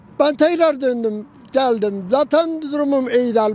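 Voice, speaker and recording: Over light background noise, a man talks at an extremely high pitch with ordinary pitch variation, the sound dry with no echo. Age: 70s. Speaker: roadside tea seller. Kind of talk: interview answer. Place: open country. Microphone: handheld.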